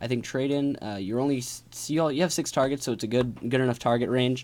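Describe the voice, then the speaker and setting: Very fast and with fairly even intonation, a man speaks. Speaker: card game YouTuber. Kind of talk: tutorial.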